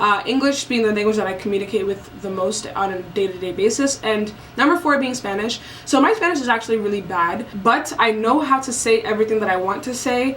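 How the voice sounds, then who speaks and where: A woman's fairly high voice at a fairly quick pace, with ordinary pitch variation over noticeable background noise. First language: French and Basa. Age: 20s. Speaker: vlogger. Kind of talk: casual vlog monologue.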